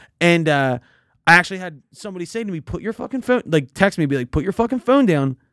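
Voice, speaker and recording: A man with a Philadelphia accent talks at a very fast pace and a high pitch, with very wide pitch swings and big swings in loudness. The recording is very clean with a silent background, and the sound is dry and close with no echo. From Philadelphia, US. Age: 20s. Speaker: podcast host. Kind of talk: casual chat.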